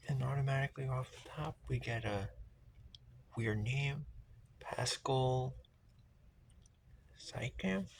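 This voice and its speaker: Pausing long and often, a man speaks very slowly in a medium pitch, somewhat breathy and with fairly even intonation. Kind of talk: casual talk to camera, trading card pack opening. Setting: outdoors, windy.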